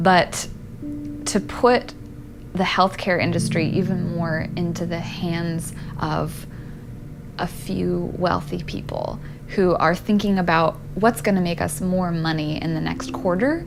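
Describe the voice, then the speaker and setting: A woman speaks fairly slowly with an American accent. Music plays behind her, and the room gives an audible echo. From Eastern Washington State, US. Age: 20s. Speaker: patient advocate. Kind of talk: testimony.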